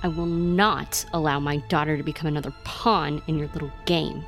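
Speaking in a put-on character voice at a middle pitch, the speaker keeps a moderate pace. Clear music plays in the background, and there is hissing. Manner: menacing.

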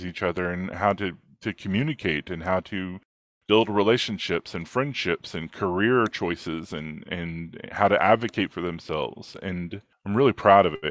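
A man talks at a moderate pace with ordinary pitch variation in an ordinary speaking voice. The recording is very clean with a silent background and a dry, close sound with no echo. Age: 40s. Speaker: ADHD coach. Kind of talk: casual interview.

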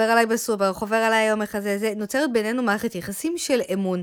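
A woman's fairly high voice at a very fast pace, fairly even in intonation, on a very clean recording with a silent background. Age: 40s. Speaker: podcast co-host, marketing manager. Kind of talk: casual chat.

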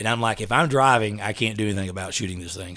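In an East Texas accent, the speech comes at a very fast pace over a very clean recording with a silent background. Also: man. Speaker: SWAT officer. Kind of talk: casual chat.

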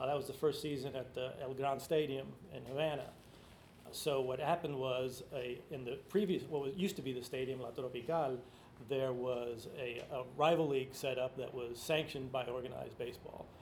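Somewhat breathy and fairly even in intonation, a man of medium pitch talks with an American accent amid audible room echo. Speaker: author and sports writer. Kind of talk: book talk interview. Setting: live event with audience.

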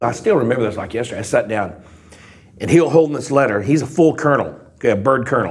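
A man with a Texan accent speaks at a very fast pace and a medium pitch. His intonation is lively, and the room echo is audible. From US South, Texas Gulf Coast. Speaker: ex-pilot and convicted fraudster. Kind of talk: testimony.

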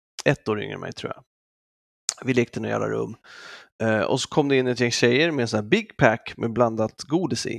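On a very clean recording with a silent background and a dry, close sound with no echo, a man speaks at a medium pitch and moderate pace with vocal fry, ordinary pitch variation, and long, frequent pauses. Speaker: podcast co-host. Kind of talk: casual chat.

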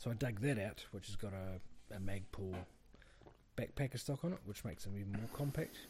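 Speaking at a fairly quick pace, a man with a New Zealand accent has a fairly low pitch and a somewhat breathy voice. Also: ordinary pitch variation. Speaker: farmer, podcast co-host. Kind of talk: casual chat.

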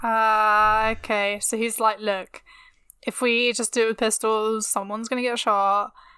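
On a very clean recording with a silent background, a woman with a fairly high pitch and a bright, sharp tone speaks at a fairly slow pace in a monotone, flat manner. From England. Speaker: history podcast co-host. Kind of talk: casual chat.

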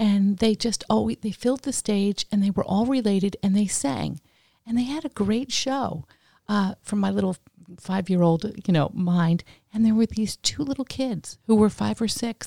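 Somewhat breathy and medium-pitched, a woman speaks at a moderate pace with ordinary pitch variation on a very clean recording against a silent background. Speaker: podcast co-host. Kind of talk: casual interview chat.

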